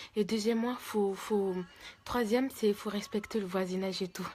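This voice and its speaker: Soft-spoken and at medium pitch, a woman delivers her words in a monotone, flat intonation at a fairly quick pace. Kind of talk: religious advice talk. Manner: halting.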